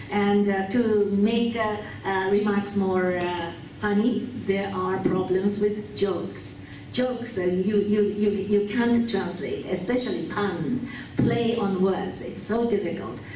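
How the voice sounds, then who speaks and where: Noticeable background noise sits behind a woman's voice. She speaks at a very slow pace and medium pitch, with fairly even intonation. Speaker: simultaneous interpreter. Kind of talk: keynote speech.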